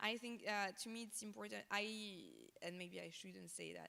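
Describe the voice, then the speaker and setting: A woman speaks with a French accent. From France. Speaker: fashion designer. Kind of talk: interview on stage. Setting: stage with audience. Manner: halting, many fillers.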